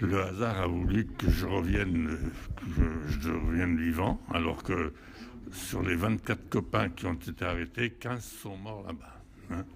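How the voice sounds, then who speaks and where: A man speaks at a fairly slow pace in a very deep, low pitch, with ordinary pitch variation. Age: 80s+. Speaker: war veteran. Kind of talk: interview. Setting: hotel event. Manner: halting.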